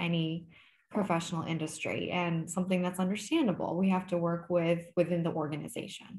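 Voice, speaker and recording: A woman talks at a fairly quick pace, her voice somewhat breathy. There is audible room echo. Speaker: licensed counselor and channel host. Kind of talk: interview. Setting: video call. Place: home room. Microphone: video call.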